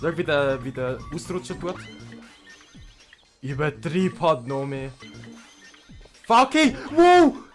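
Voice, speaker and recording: A man's very slow delivery with long, frequent pauses and music in the background. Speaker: gaming YouTuber. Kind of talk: let's play game commentary. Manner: excitable, energetic.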